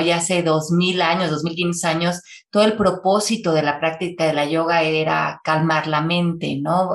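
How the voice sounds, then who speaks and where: A woman with a fairly low pitch talks at a fairly slow pace in a normal speaking voice. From Mexico City. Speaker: author and speaker. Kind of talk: conversational interview.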